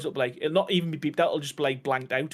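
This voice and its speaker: There is noticeable background noise. Through it, a man speaks with a fairly high pitch. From Scotland. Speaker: game streamer. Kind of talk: casual chat while live gaming.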